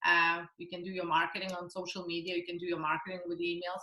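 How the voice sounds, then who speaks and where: A woman speaks with a non-native accent at a fairly low pitch. Her tone is bright and sharp. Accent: foreign. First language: not English. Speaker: network marketing entrepreneur. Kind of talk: interview. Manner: hesitant, many fillers.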